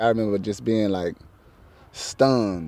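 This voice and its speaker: A man with a New Orleans accent speaks slowly in a fairly low, dark, mellow tone with fairly even intonation. The recording is very clean with a silent background. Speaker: local resident. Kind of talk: interview.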